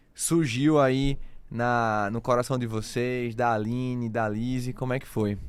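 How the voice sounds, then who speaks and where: A man of medium pitch with a northeastern Brazilian accent. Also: very clean recording, silent background. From Recife, northeastern Brazil. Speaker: podcast host. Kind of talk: casual chat.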